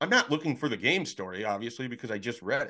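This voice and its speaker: With an American accent, a man speaks in a bright, sharp tone and lively intonation. The background is quiet. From Nebraska. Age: 30s. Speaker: sports recruiting analyst. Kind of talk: podcast interview.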